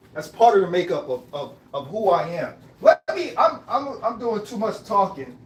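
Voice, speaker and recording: In an American accent, the speaker uses an animated tone with very wide pitch swings and big swings in loudness at a moderate pace. Noticeable background noise is present. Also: man, high pitch for a man. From Greenville, South Carolina, raised among Trinidadian Brooklyn family. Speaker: live-stream host. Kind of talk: casual live-stream monologue. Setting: live stream at home, making coffee. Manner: animated, repetitive.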